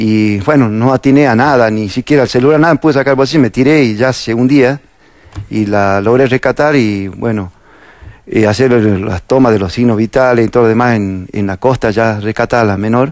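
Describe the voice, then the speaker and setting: In a calm tone, a man speaks at a medium pitch and moderate pace, with a dry sound with no echo and a quiet background. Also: ordinary pitch variation. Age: 50s. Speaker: firefighter, police fire brigade officer. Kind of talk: interview. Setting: studio. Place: studio. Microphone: lapel.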